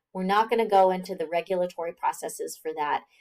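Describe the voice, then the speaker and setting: A woman with an ordinary speaking voice talks at a fairly quick pace. Her medium pitch shows ordinary variation. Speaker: biology instructor. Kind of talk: lecture. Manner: conversational, with fillers.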